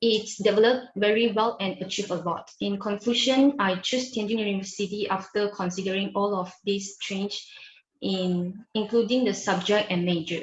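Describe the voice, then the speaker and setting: In a Chinese accent, a woman of medium pitch talks at a moderate pace. Her intonation stays fairly even. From Malaysia. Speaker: university student ambassador. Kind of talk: interview. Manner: formal, prepared-sounding answers.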